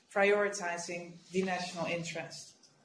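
A woman speaks at a moderate pace, with audible room echo and light background noise. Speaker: official briefing a council. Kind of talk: formal prepared briefing. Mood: serious, measured. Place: office. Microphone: video call.

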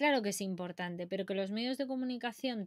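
A woman speaks in an animated tone. The background is quiet. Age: 20s. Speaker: science streamer. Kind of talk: casual live stream chat. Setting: live stream. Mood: playful, chatty. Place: home room. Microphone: webcam.

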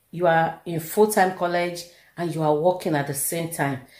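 A woman's fairly low, dark and mellow voice at a moderate pace, with a quiet background and audible room echo. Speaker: vlogger. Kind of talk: casual vlog chat. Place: home room. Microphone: phone near.

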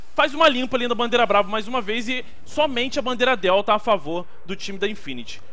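With ordinary pitch variation, a man speaks in an extremely high voice. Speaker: game commentator. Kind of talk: sports commentary. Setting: online stream. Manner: fast, excitable play-by-play, exclaiming at big shots; informal, chatty, talking straight to the audience.

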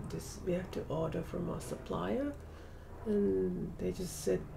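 With light background noise, a woman talks at a very slow pace. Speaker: vlogger. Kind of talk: casual vlog chat. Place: home room. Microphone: webcam.

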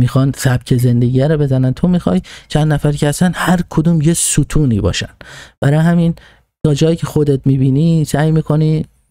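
A man talks at a fairly quick pace in a fairly high pitch with ordinary pitch variation. His tone is dark and mellow, the sound dry with no echo over a quiet background. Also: very even loudness. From Iran. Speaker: political commentator; podcast host. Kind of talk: monologue talking to himself. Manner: halting. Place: home room. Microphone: studio mic.

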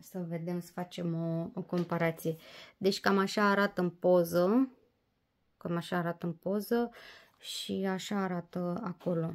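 A woman talks at a fairly low pitch. Her intonation is fairly even. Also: fairly slow pace. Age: 30s. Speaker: diamond painting vlogger. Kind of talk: casual vlog review; casual vlog chat. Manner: hesitant, many fillers. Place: home room. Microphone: phone near.

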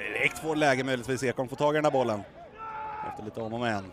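A man talks in an animated tone at a medium pitch. Noticeable background noise runs behind him. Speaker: football commentator. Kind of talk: live football commentary. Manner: fast, animated, excitable; breathless, rapid play-by-play.

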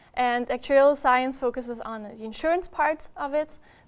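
A woman with a German accent talks with fairly even intonation. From Austria. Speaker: university student. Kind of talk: webinar interview about studies. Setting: live-streamed webinar. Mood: friendly, relaxed. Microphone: lapel.

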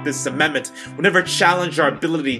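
Clear music plays in the background as a man with a fairly high pitch speaks with ordinary pitch variation. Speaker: spoken word poet. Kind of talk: spoken word poetry performance.

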